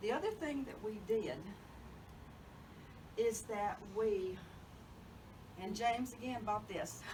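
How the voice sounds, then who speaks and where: A woman with a Southern US accent and fairly high pitch, very slow pace with long, frequent pauses, audible room echo and noticeable background noise. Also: ordinary pitch variation. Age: 70s. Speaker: genealogy speaker. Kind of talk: talk to a local society meeting.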